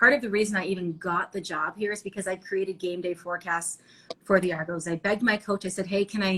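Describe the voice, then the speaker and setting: Loud and bright with a sharp tone, a woman with a Canadian accent speaks at a fairly quick pace. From Ontario, Canada. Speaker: TV reporter and anchor. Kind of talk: interview. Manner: animated.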